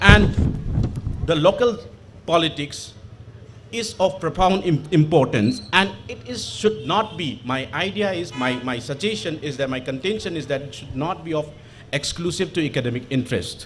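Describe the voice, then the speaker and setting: With noticeable background noise behind him, a man talks at a moderate pace in a fairly high voice, his intonation lively and his loudness swinging widely. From Manipur, northeast India. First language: Manipuri. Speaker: panel speaker, international relations academic. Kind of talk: panel talk. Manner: halting, many fillers.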